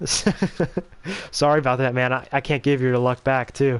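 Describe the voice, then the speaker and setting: Here a man has an ordinary speaking voice at medium pitch with ordinary pitch variation. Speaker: gaming streamer. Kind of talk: casual livestream chat while gaming.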